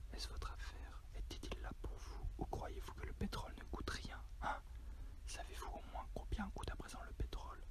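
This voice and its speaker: The whispering moves at a moderate pace. Noticeable noise sits in the background. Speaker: ASMR reader. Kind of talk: ASMR story reading. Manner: whispered.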